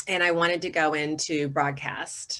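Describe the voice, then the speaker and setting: A woman's voice comes across with a bright, sharp tone. She keeps a moderate pace. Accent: Southern US. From US South, North Carolina. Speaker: communications consultant, former broadcast reporter. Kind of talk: webinar presentation. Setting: video call.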